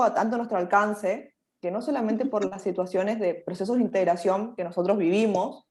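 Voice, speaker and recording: Her pitch fairly high, a woman speaks in a normal speaking voice at a moderate pace. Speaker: university lecturer. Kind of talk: lecture.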